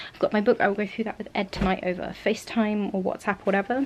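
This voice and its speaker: A woman's medium-pitched voice at a fairly quick pace, over noticeable background noise. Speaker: vlogger and young actor. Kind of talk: casual vlog chat. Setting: grandparents' spare room.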